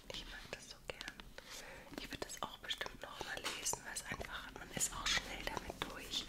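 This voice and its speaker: Whispering at a fairly slow pace in a relaxed tone, the voice shows big swings in loudness. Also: woman. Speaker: ASMR creator. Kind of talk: ASMR book recommendations to camera. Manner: soft, relaxed, cozy, whispering. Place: home room. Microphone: studio mic.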